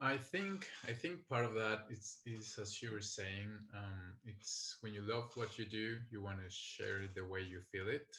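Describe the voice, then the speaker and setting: A man with a Colombian accent speaks at a fairly slow pace, with hardly any pauses. His voice is fairly low in pitch, with a bright, sharp tone and ordinary pitch variation. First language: Spanish. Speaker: skydiving videographer. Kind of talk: interview. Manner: calm.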